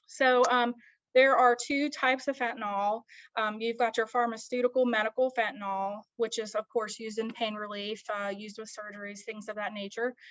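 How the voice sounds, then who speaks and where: In an American accent, a woman talks at a moderate pace with a fairly high pitch. Her intonation is flat and monotone. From Baltimore, US. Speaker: graduate student presenter. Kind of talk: academic presentation. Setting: video call. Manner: many filler words (um, uh).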